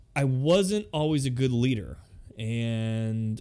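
Speaking at a very slow pace, a man with an American accent holds a medium pitch with ordinary pitch variation. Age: 30s. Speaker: podcast host. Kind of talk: solo podcast monologue. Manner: halting, many fillers.

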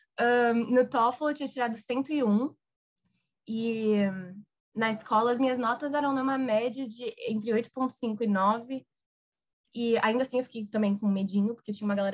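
Here is a woman with an unremarkable speaking voice and a fairly high pitch. She keeps a moderate pace and fairly even intonation. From Brazil. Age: 20s. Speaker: recent university graduate. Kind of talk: casual interview.

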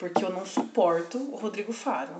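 With noticeable background noise and audible room echo, a woman speaks in an animated tone at a medium pitch with ordinary pitch variation. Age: 30s. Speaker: podcast co-host. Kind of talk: casual chat.

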